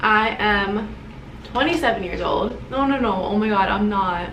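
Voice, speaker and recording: Recorded with audible room echo and noticeable background noise, a woman with an American accent speaks at a fairly slow pace. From New Jersey, central shore. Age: 20s. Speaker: beauty vlogger. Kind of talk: get-ready-with-me vlog. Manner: animated.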